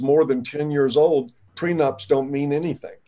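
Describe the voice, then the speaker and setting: A man talks in an ordinary speaking voice with a fairly high pitch. His intonation is fairly even and his pace moderate. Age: 60s. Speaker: founder of a men's advocacy website. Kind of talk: interview.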